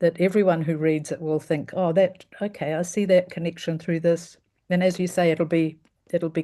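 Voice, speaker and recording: In a New Zealand accent, a woman talks at a moderate pace with a fairly low pitch, a dark, mellow tone and monotone, flat intonation. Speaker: event host. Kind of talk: casual chat; introduction of a reader. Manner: halting.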